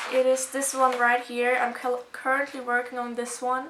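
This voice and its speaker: A woman speaks at a high pitch. Noticeable background noise is present. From Germany. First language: German. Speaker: video blogger. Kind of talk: casual show-and-tell video. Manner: casual, hesitant with fillers.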